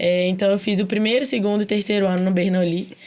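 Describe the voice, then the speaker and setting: Her pace is fairly quick. The woman holds a medium pitch with monotone, flat intonation. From interior of Minas Gerais, Brazil (Ponte Nova). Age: 20s. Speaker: medical student. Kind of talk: podcast conversation.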